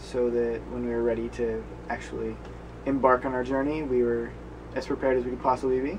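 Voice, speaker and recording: Under noticeable background noise, a man speaks at a moderate pace. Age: 20s. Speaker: travel blogger. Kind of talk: casual interview.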